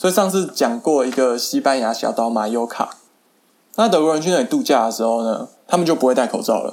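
At a fairly quick pace, a man speaks in a normal speaking voice. His pitch is medium. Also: lively intonation. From Taiwan. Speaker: podcaster. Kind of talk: casual monologue.

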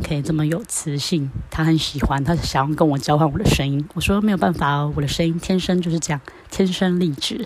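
A woman speaks at a moderate pace with a very deep, low pitch. Her intonation stays fairly even, and there is noticeable background noise. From Taiwan. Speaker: podcaster. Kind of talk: casual monologue diary. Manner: casual with many filler words.

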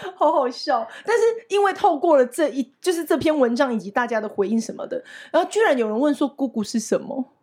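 In a northeastern Taiwanese accent, a woman speaks at a fairly quick pace with a high pitch and very wide pitch swings. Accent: Yilan. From Yilan, Taiwan. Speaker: podcast co-host and English teacher. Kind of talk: casual chat.

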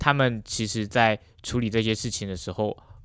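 Over a quiet background, a man with a fairly low pitch talks in an ordinary speaking voice with fairly even intonation. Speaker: university student intern. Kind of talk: interview.

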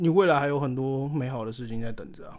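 A man in a very clean recording over a silent background. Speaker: podcast guest. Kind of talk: casual chat.

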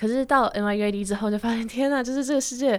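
A plain, everyday voice, belonging to a woman. Her pitch is fairly high, with ordinary pitch variation. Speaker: podcast co-host, university student. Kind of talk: casual chat.

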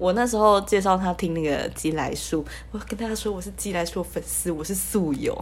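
A woman with a Taiwanese accent speaks over noticeable background noise. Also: moderate pace. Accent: Taiwanese Mandarin, light retroflex. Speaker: podcast host, university student. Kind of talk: solo casual podcast monologue. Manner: playful funny put-on intonations.

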